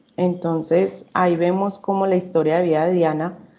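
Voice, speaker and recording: A woman delivers her lines at a fairly low pitch with monotone, flat intonation. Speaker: psychology student. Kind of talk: class panel presentation. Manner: halting, with fillers.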